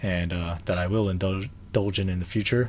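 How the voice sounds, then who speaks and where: Somewhat breathy, fairly quick delivery with fairly even intonation. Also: man. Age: 30s. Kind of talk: casual vlog talk to camera. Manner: hesitant, many fillers.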